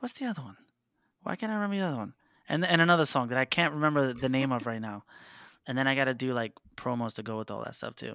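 In a very clean recording with a silent background, a man with a New York accent speaks very fast at a medium pitch, with lively intonation and long, frequent pauses. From New York City (Harlem). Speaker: band vocalist. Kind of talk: casual chat.

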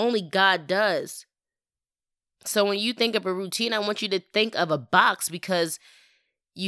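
A woman's bright, sharp and warm tone on a very clean recording with a silent background. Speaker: podcast host. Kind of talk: devotional monologue. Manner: casual, warm.

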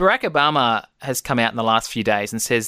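Medium-pitched man with an Australian accent and a bright, sharp tone, dry and close with no echo, in a very clean recording with a silent background. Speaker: podcast host. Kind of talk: casual interview.

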